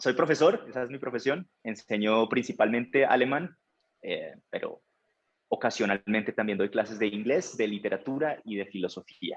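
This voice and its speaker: A strong Tolima accent, a moderate pace and ordinary pitch variation. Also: man, medium pitch for a man. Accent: Colombian, Ibagué, strong. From Colombia, Ibagué (Tolima). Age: 30s. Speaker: language teacher. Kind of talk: interview.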